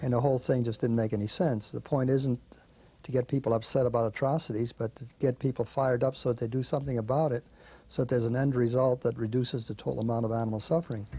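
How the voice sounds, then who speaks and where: A man with a dark, mellow, somewhat breathy tone of medium pitch talks at a very fast pace with fairly even intonation. The recording is very clean, the background silent. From Belgium, moved to New York at thirteen. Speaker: animal rights activist. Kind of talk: documentary interview.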